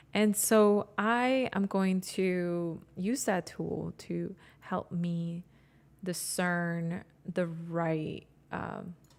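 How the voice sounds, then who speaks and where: A woman with a non-native accent speaks at a very slow pace with fairly even intonation. The recording is very clean, with a silent background. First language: not English. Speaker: graphic designer and photographer. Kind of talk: live tutorial. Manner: halting, self-correcting.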